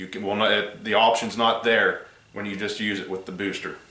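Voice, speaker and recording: A man's voice with noticeable background noise and audible room echo. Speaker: model railroad hobbyist YouTuber. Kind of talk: tutorial. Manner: fast; casual, with fillers.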